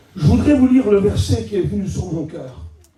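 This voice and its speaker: A loud man's voice swings very widely in pitch amid audible room echo. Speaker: preacher. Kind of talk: sermon. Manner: animated.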